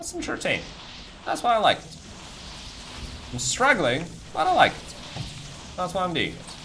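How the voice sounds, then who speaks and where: A man at a fairly quick pace, with very wide pitch swings, big swings in loudness, long, frequent pauses, and noticeable background noise. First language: non-English. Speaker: video game streamer. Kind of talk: live stream chat while gaming. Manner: casual, hesitant with repetitions.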